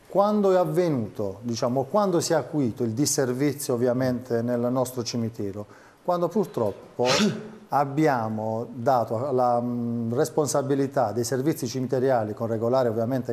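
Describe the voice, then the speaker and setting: A man speaks at a moderate pace and medium pitch with lively intonation. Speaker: city councilman for public services. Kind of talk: political debate. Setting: TV studio. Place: studio. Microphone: lapel.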